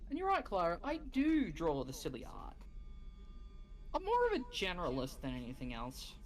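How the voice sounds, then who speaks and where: A woman at a moderate pace with long, frequent pauses and audible room echo. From Australia. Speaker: streamer. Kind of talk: casual chat. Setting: live stream. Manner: animated.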